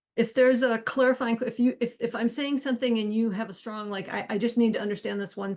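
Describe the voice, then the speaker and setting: A woman talks fairly quickly, and little can be heard behind her. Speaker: co-founder and workshop host. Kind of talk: online workshop demo. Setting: video call with screen share. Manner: fast.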